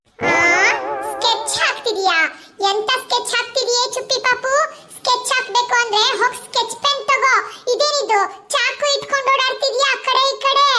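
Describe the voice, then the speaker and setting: A woman does a squeaky, cartoonish character voice at an extremely high pitch. Her pace is fairly slow, with fairly even intonation and very even loudness. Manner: shrill, fussy.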